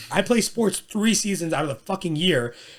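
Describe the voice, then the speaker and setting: This is a man with an American accent. He talks at a fairly quick pace. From US. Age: 20s. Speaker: personal trainer. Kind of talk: casual chat.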